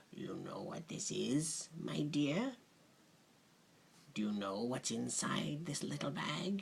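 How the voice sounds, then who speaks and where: Quiet and creaky, a man's put-on character voice sits fairly high, swings very widely in pitch and moves at a fairly slow pace with long, frequent pauses. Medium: read story. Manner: hushed, conspiratorial, coaxing.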